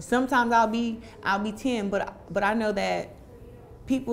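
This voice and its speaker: Light noise runs behind the woman as she talks. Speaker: interviewee. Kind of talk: interview answer. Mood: confident, relaxed, some laughter. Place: home room. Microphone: lapel.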